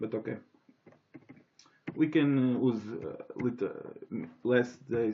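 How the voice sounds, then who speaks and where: Speaking in a Portuguese accent, the voice moves at a very slow pace. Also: man. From Portugal. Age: 20s. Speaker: software developer. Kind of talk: software demo tutorial. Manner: halting, many fillers and restarts.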